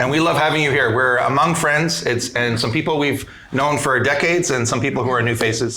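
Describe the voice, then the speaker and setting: Speaking fairly quickly with a Canadian accent and ordinary pitch variation, a man is heard over noticeable background noise and audible room echo. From Canada. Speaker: podcast host, emergency physician. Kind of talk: live podcast panel chat. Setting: stage with live conference audience.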